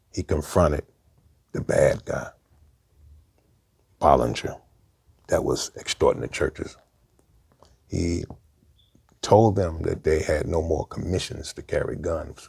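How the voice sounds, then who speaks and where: Pausing long and often, a man speaks at a fairly slow pace. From Brooklyn, New York. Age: 60s. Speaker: former gang member. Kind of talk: interview storytelling.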